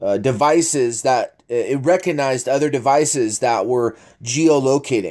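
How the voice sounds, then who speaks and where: A man with an unremarkable speaking voice, fairly high in pitch and fairly slow in pace, on a very clean recording with a silent background. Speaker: online commentator reading posts. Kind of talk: casual commentary reading posts aloud.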